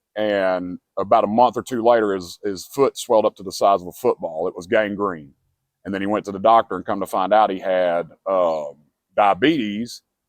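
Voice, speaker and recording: A man with an ordinary speaking voice, fairly low in pitch, speaks at a moderate pace with ordinary pitch variation and big swings in loudness. The sound is dry and close, with no echo. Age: 40s. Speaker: homeless man interviewed. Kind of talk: interview testimony.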